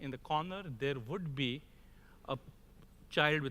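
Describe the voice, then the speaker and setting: A man with an Indian accent talks at a moderate pace with ordinary pitch variation. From India (Mumbai). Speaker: crop protection industry executive, conference speaker. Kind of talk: conference keynote speech.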